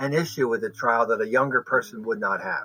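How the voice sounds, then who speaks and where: Bright and sharp in tone, a man speaks at a fairly high pitch and a fairly quick pace. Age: 70s. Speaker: migraine patient. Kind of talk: testimony.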